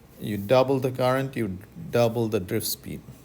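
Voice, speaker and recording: A man's voice with audible room echo. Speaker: physics professor. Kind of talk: lecture.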